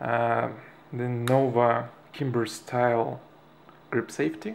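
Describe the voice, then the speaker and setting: Man with a Russian accent, medium pitch. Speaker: airsoft hobbyist. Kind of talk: product tutorial. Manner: halting, many fillers.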